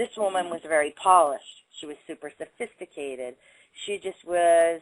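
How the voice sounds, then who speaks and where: A woman speaks in a Boston accent with a fairly low pitch. Her moderate pace comes with big swings in loudness. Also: ordinary pitch variation, dry, close sound with no echo. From Boston area, Waltham. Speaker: body language instructor. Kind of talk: interview.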